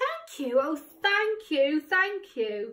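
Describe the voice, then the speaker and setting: This is a put-on character voice that sounds female. Its pitch sits high for a woman. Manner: grateful, exclaiming.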